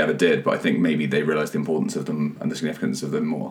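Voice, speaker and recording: A man rattles along very fast while noticeable background noise runs underneath. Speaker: news site editor. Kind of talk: casual podcast chat.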